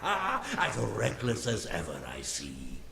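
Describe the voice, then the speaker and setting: Over clear background noise, a man talks very slowly in a put-on character voice. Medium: video game. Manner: slow, stately.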